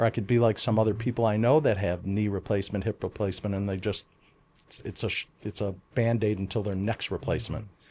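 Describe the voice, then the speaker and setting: With an American accent and a normal speaking voice, a man talks at a fairly quick pace, his medium pitch held in fairly even intonation. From US Midwest, Chicago area. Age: 60s. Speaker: insurance executive. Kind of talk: casual interview chat.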